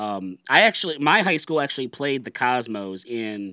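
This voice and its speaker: Here a man talks at a moderate pace in an unremarkable speaking voice with lively intonation. The recording is very clean and dry, close with no echo, with a silent background. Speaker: podcast host guest. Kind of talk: casual chat.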